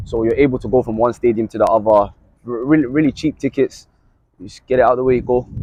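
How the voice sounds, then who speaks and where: A very fast man with a London accent, medium in pitch, with fairly even intonation and big swings in loudness. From London, England. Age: 20s. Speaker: sports journalist. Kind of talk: casual chat.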